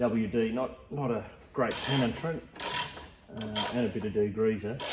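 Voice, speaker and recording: A man talks over loud background noise. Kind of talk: tutorial. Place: garage. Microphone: phone near.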